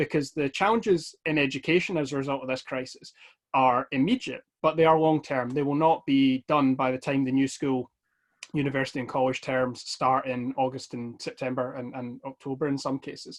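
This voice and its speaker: Speaking fairly quickly with a West of Scotland accent, a man uses a fairly high pitch and fairly even intonation. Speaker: Scottish politician. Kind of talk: online talk. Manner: fast.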